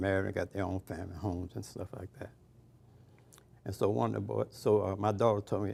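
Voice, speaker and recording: The man's fairly low voice has vocal fry and a dark, mellow tone. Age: 80s+. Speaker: retired baseball coach and youth mentor. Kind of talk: casual chat. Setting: restaurant brunch.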